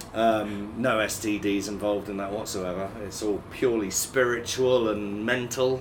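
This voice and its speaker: Speaking at a fairly slow pace with hardly any pauses, a man delivers his words in a flat monotone over noticeable background noise. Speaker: former co-host. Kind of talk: casual chat. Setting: studio.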